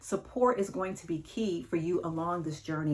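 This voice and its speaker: This is a woman's voice. It carries vocal fry. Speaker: divorce coach. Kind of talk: advice monologue to camera.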